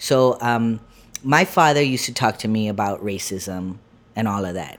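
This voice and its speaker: An ordinary speaking voice from a man at a medium pitch, with ordinary pitch variation, on a very clean recording with a silent background. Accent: American. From US, Lancaster, California. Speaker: comedian. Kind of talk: casual interview.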